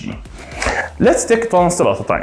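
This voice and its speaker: A man with a non-native accent speaks at a high pitch, with music in the background and audible room echo. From Egypt. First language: Arabic. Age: 30s. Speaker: gaming streamer. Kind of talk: casual rant. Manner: halting, many fillers.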